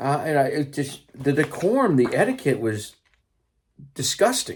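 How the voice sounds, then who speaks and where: At a moderate pace, a man with an American accent speaks at a fairly high pitch, somewhat breathy, with lively intonation. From California. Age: 60s. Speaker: teacher and political commentator. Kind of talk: casual monologue. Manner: halting.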